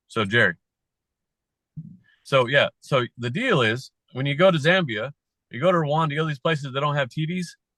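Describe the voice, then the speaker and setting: With an American accent, a man talks at a fairly quick pace and a fairly high pitch with ordinary pitch variation and long, frequent pauses, in a dry, close sound with no echo. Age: 50s. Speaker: company founder and author. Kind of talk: casual interview chat. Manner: animated.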